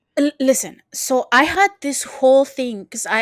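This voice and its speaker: A woman speaks in a Spanish accent with an animated tone. Her pitch varies in an ordinary way, and the sound is dry and close with no echo. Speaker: podcast co-host. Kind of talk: casual chat.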